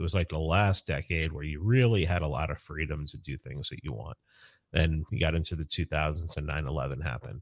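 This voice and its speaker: A man with a New York accent speaks at a fairly quick pace, his very deep, low pitch marked by vocal fry and ordinary pitch variation. The recording is very clean, with a silent background. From New York City (South Bronx). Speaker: libertarian activist. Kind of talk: casual chat.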